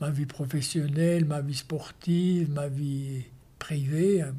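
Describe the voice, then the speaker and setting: This man's voice has a dark, mellow tone. His pitch is fairly high. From Switzerland. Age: 70s. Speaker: show jumping coach and former Olympic rider. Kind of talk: interview. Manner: halting.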